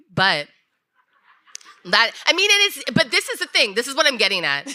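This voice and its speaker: A woman's raised, projected voice, high in pitch with very wide pitch swings, at a moderate pace. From US military family, moved around. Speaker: podcast co-host. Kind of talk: live podcast conversation. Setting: stage with live audience.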